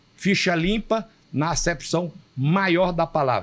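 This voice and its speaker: Noticeable background noise runs behind a man who speaks at a very slow pace with lively intonation. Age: 70s. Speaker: state politician and physician. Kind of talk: interview. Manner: formal; emphatic.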